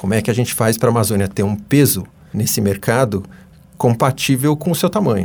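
A man's medium-pitched, somewhat breathy voice carries lively intonation. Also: fairly quick pace. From Brazil, São Paulo city. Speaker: economics professor. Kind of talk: interview. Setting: radio studio.

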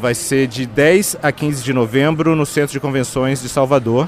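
At a fairly slow pace, a man talks in an ordinary speaking voice at a medium pitch with ordinary pitch variation. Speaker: bookstore fair coordinator. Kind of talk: interview at book fair. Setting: book fair stand.

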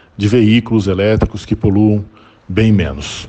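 A man with a fairly low voice delivers his words rather slowly. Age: 40s. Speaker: electric car owner interviewed. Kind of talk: recorded interview testimony. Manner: halting, many fillers and repetitions.

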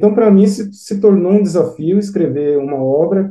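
A man's dark, mellow tone with lively intonation. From São Paulo, Brazil. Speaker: author. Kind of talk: interview.

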